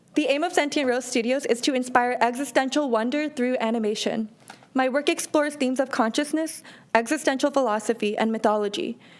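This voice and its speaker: The speech moves at a fairly quick pace with very even loudness and ordinary pitch variation. Noticeable background noise sits behind it. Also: woman, high pitch for a woman. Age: 20s. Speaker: animator and art entrepreneur. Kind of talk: business pitch. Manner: formal.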